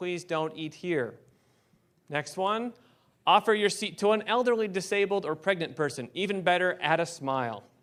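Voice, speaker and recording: In a very clean recording with a silent background, a man speaks at a high pitch with ordinary pitch variation. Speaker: professor. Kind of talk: conference presentation. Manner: fast.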